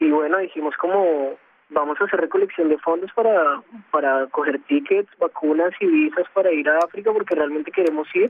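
Speaking at a moderate pace, a man uses a high pitch and keeps his loudness very even. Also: ordinary pitch variation. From Colombia. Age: young. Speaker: NGO volunteer and musician. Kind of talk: interview. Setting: phone call. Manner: halting.

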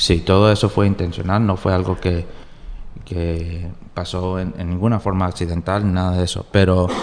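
Fairly even intonation in a man's very deep, low voice. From US, New Jersey, Colombian family. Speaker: novelist and lawyer. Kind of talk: interview. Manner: halting, with many fillers and repetitions.

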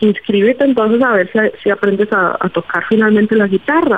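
A woman speaks in a plain, everyday voice, pitched fairly high. Her pace is fairly quick, with ordinary pitch variation. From Colombia, Pacific coast (Buenaventura). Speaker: opera singer. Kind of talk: interview.

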